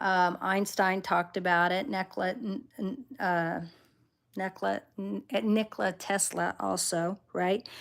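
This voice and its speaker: A woman of medium pitch with fairly even intonation in a very clean recording with a silent background. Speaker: tarot reader. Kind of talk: livestream teaching talk. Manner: halting.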